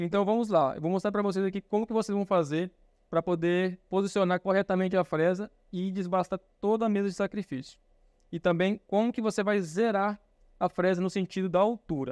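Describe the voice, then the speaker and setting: Fairly quick and fairly even in intonation, a man talks in a high voice. The background is quiet, and the sound is dry with no echo. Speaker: instructor. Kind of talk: tutorial. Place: workshop.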